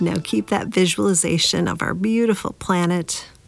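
A woman speaks in a gentle, warm tone at a fairly low pitch. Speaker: podcast host and meditation guide. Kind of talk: guided meditation. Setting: podcast, solo recording. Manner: slow, calm, soothing, with long pauses between repeated phrases; gentle and warm, encouraging.

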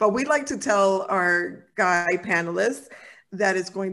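At a fairly slow pace, a woman speaks at medium pitch in a normal speaking voice on a very clean recording with a silent background. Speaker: podcast host and psychotherapist. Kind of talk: casual interview chat. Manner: warm, laughs often.

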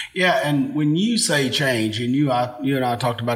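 A man with an American accent at a moderate pace, against noticeable background noise. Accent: Appalachian-tinged Ohio. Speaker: pastor. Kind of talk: casual chat.

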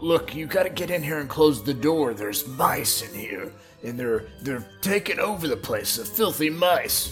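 Over clear music in the background, a man puts on a character voice at a fairly high pitch and a moderate pace. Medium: actual play. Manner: panicked, blustering.

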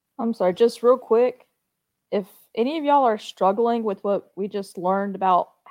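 A woman speaks at a medium pitch. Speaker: class member. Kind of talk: casual chat.

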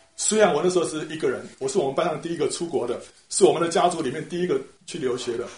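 A man with a Taiwanese accent talks at a very fast pace in a high pitch with ordinary pitch variation. Room echo is audible. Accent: Taiwanese Mandarin. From Taiwan, Taipei. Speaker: church member, retired translator. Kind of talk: personal faith testimony. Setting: church small group meeting.

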